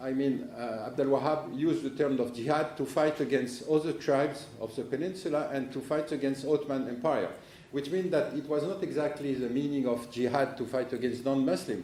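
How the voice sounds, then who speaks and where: A man with a strong French accent and a fairly high pitch talks at a fairly quick pace, with audible room echo and noticeable background noise around him. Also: ordinary pitch variation. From France. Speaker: political analyst. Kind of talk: conference talk. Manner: halting.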